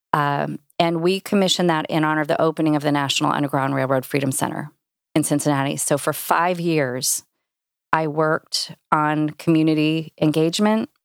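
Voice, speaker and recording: On a very clean recording with a silent background, a woman with a very deep, low pitch talks at a fairly quick pace, her loudness very even and her intonation fairly even. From Indianapolis, Indiana, US Midwest. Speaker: arts council executive. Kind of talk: interview conversation. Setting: recording studio.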